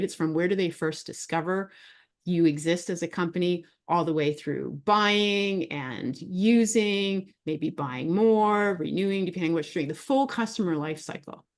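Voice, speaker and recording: Against a quiet background, a woman talks in an animated tone with lively intonation. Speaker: business executive and speaker. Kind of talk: presentation talk. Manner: fast.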